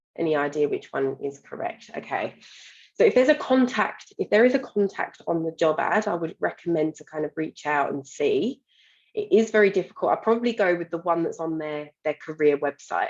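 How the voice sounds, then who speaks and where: A woman with a British accent, fairly low in pitch, at a fairly quick pace with lively intonation. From United Kingdom. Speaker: employment market specialist and webinar moderator. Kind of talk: webinar Q&A moderation. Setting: online webinar.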